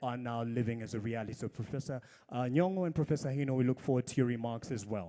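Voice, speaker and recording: A man speaks with a dark, mellow tone. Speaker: event emcee. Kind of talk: ceremony hosting. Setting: stage with audience.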